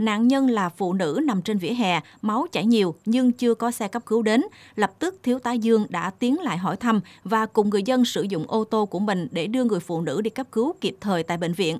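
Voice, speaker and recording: With lively intonation and a fairly high pitch, a woman speaks at a moderate pace in an ordinary speaking voice, the sound dry and close with no echo. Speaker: news presenter. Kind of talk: news reading. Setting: studio. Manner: formal.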